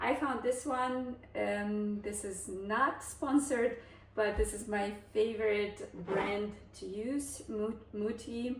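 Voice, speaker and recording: A woman speaks very slowly at a fairly high pitch. Noticeable background noise and audible room echo surround her. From Kazakhstan, then Germany as a teen. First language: Russian. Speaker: cooking vlogger. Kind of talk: cooking tutorial with storytelling. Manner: casual, hesitant with frequent fillers.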